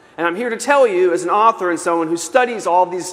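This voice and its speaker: A man's high pitch with ordinary pitch variation, over noticeable background noise. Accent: American. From New York City. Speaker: author and keynote speaker. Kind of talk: keynote talk. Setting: conference stage with audience. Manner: fast.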